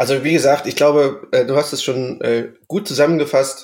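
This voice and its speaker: Here a man is speaking. He keeps a moderate pace. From Saxony, Erzgebirge. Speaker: music podcast co-host. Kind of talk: casual chat.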